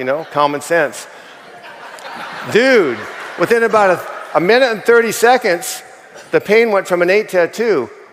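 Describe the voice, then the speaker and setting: A man's pitch swings very widely as noticeable background noise continues. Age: 60s. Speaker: network marketing distributor. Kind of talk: testimony. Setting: stage with audience.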